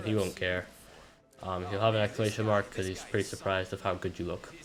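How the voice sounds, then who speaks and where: A man is speaking. His pace is fairly quick. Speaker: gaming YouTuber. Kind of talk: gameplay commentary. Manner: casual, halting.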